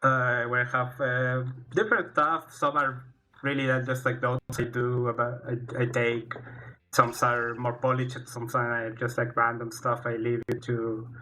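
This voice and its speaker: Slowish and monotone, a man with a Spanish accent talks at a medium pitch and a fairly slow pace with flat intonation. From Chile. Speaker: fighting game player. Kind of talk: casual stream talk. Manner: halting.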